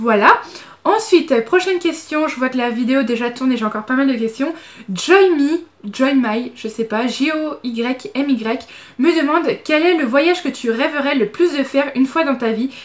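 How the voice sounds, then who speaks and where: A woman with a high-pitched voice speaks at a moderate pace, her intonation lively. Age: 20s. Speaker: beauty vlogger. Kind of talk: Q&A vlog. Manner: casual, hesitant.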